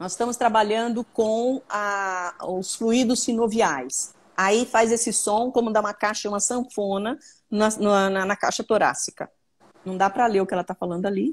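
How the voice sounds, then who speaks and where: A woman with a plain, everyday voice and a fairly high pitch speaks at a moderate pace with ordinary pitch variation, on a very clean recording with a silent background. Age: 60s. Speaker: trauma therapist. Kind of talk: live Q&A stream. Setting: live video stream.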